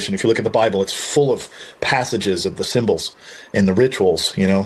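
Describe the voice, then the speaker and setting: Against noticeable background noise, a man speaks at a fairly quick pace. His pitch is fairly low and his intonation fairly even. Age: 60s. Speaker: combat and shooting instructor. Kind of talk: casual interview chat.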